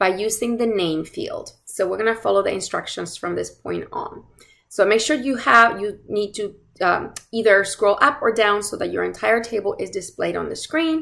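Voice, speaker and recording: Moderate pace from a woman, quiet background behind her. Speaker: course instructor. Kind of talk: tutorial. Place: home room. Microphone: webcam.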